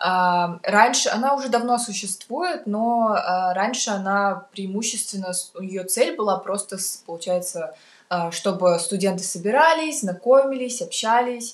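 Noticeable background noise sits behind this woman. Her intonation is lively and her pitch medium. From Kazakhstan, Almaty. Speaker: university student. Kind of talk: casual interview. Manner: halting, many fillers.

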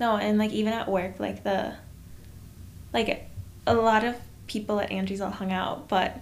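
Amid audible room echo, a woman of medium pitch speaks at a moderate pace with monotone, flat intonation and long, frequent pauses. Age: 20s. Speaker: podcast co-host, photographer. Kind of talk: casual chat.

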